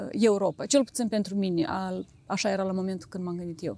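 A woman with a medium pitch and ordinary pitch variation speaks in a dark, mellow tone, the sound dry with no echo. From Moldova, Chișinău; Moldova. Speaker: real estate agent; guest. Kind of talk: interview. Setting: outdoors. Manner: halting.

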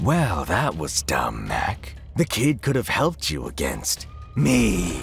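In a put-on character voice with vocal fry, a man speaks slowly at a low pitch, swinging very widely in pitch as faint music plays in the background.

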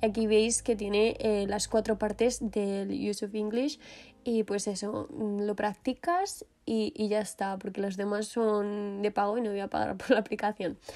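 A woman speaks with a Spanish accent in a dark, mellow tone at a fairly high pitch. Her pace is fairly slow and her intonation fairly even. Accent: Peninsular Spanish. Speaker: fashion and lifestyle youtuber. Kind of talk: vlog voiceover.

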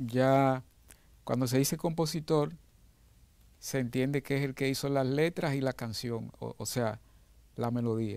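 Against a quiet background, a man with a medium-pitched voice speaks in a dark, mellow tone with ordinary pitch variation. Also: dry sound with no echo. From Dominican Republic, San Juan de la Maguana; Dominican Republic. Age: 60s. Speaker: pianist and music arranger. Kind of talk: interview. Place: studio. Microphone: lapel.

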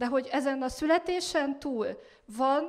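Over a quiet background, a woman talks very slowly with ordinary pitch variation. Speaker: speaker. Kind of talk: religious teaching talk. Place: stage. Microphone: handheld.

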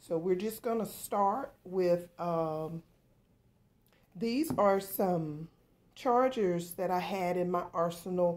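Her pitch fairly low, a woman speaks at a very slow pace with ordinary pitch variation. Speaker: home decor vlogger. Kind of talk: tutorial. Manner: casual, hesitant with fillers. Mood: warm, relaxed. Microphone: phone near.

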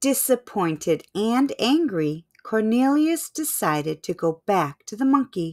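A text is read aloud in a natural voice, and the surroundings are quiet.

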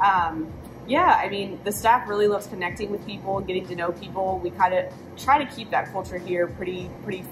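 A woman's fairly quick, fairly even-toned speech with music in the background. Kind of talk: interview answer. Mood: relaxed, friendly. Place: cafe. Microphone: camera far.

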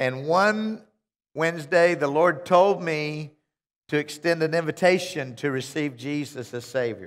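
Over a quiet background, a man with a fairly high pitch and ordinary pitch variation speaks at a very slow pace. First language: English (speaking Russian). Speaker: visiting minister. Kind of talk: sermon. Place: church. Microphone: headset.

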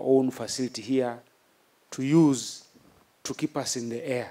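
A man's dark, mellow tone, fairly slow and fairly even in intonation. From Uganda. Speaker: military chief. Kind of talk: formal speech. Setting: outdoor ceremony with audience. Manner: formal; halting. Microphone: podium.

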